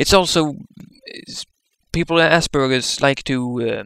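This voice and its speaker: A man with a non-native accent speaks at a fairly slow pace. His pitch is fairly high with ordinary variation. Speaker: vlogger with Asperger's. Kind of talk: casual talk to camera.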